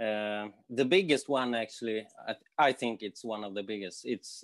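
Against a quiet background, a man speaks with a Swedish accent in a dry sound with no echo. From Sweden. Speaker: guitarist and guitar teacher. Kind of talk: interview. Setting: video call. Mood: relaxed, friendly. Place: home room. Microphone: earbuds.

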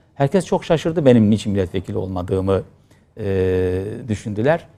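A man's fairly low voice with a dark, mellow tone and lively intonation. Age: 50s. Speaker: politician, former member of parliament. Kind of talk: interview.

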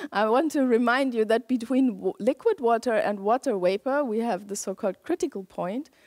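A woman speaks at a moderate pace with ordinary pitch variation over a quiet background. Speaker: lecturer. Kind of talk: lecture. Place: hall. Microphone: headset.

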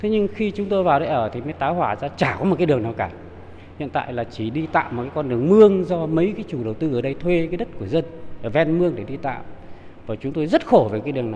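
A man at a very fast pace with very wide pitch swings, over light background noise. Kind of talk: interview answer. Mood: complaining, frustrated. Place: home room. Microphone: handheld.

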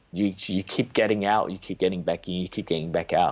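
Speaking with an Australian accent, a man keeps a moderate pace. His pitch is very deep and low. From Australia, rural Victoria. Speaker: trader; guest. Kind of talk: interview. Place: home room. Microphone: video call.

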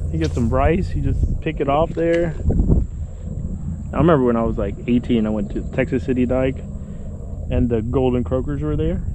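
A man at a moderate pace, with long, frequent pauses, a dry sound with no echo, and noticeable background noise. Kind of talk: casual vlog chat. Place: boat. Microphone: phone near.

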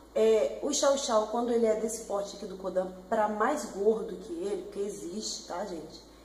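A woman's moderate-paced speech amid light background noise and audible room echo. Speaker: pet vlogger. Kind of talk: casual vlog chat. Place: home room. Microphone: webcam.

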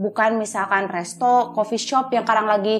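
A woman talks at a moderate pace with a fairly high pitch. Light background noise can be heard. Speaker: talk show host. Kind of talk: interview. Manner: animated. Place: studio.

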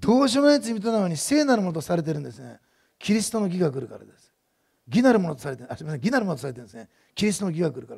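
Against a quiet background, a man with a high pitch talks at a very fast pace, with very wide pitch swings and big swings in loudness. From Japan. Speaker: pastor. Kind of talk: sermon. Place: church. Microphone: headset.

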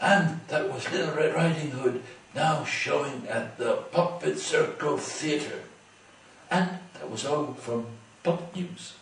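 A man performs in a put-on character voice at a fairly high pitch. He goes at a fairly slow pace, with slight echo. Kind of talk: mock news broadcast. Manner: upbeat.

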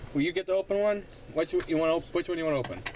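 A man speaks at a very fast pace with ordinary pitch variation. Light background noise can be heard. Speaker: gaming YouTuber. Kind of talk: card pack opening video. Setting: home recording with camera. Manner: animated. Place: home room. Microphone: phone near.

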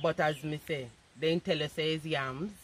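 A woman speaks with a low pitch and a fairly bright tone.

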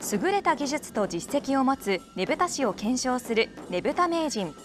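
A high-pitched woman's voice with very wide pitch swings, music in the background. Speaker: news announcer. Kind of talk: TV news narration.

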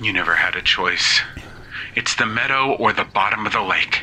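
A man talks at a moderate pace while background noise is clearly heard. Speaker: podcast host and storyteller. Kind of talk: scary ASMR sleep story, guided relaxation narration with character voices. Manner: playful, shifts between narrator and character voices.

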